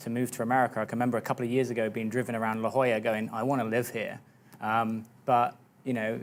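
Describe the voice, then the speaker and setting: Here a man talks very fast at a medium pitch. His intonation is flat and monotone. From UK. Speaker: fitness business coach. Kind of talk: TV interview. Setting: TV studio.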